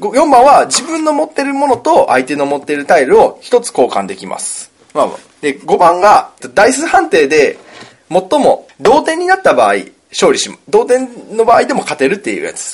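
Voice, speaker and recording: At a moderate pace, a man speaks with big swings in loudness. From Kansai, Himeji area (Hyogo). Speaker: podcast co-host, board game designer. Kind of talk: casual chat with board game explanation.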